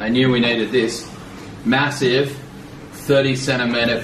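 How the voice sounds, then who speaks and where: Noticeable background noise runs under the recording. A man speaks at a fairly slow pace with an Australian accent. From Australia (Sydney). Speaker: vlogger's partner, co-presenter. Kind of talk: casual unboxing chat. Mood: cheerful, enthusiastic. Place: home room. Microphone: camera far.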